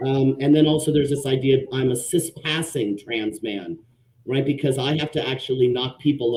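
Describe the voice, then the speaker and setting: A man talks at a fairly quick pace and medium pitch. His voice is somewhat breathy. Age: 50s. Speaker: social worker and panelist. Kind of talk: panel discussion live stream. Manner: hesitant, many fillers.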